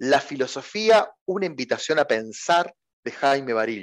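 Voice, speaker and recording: Speaking with a Rioplatense accent over a quiet background, a man uses a fairly high pitch and lively intonation. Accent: Argentine Spanish (rioplatense). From Argentina, Santa Fe. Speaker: philosophy teacher and educational YouTuber. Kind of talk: interview. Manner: hesitant with repetitions.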